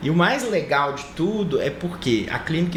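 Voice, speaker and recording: A man with a Minas Gerais accent speaks with lively intonation amid noticeable background noise and audible room echo. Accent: mineiro accent, marked. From Brazil, Minas Gerais (Conselheiro Lafaiete). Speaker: medical professor and doctor. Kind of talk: TV studio interview. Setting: TV studio.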